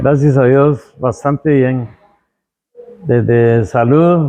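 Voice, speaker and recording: With music playing behind him, a man talks at a very slow pace with fairly even intonation. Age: 70s. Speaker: baker and pastry maker. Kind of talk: interview answer.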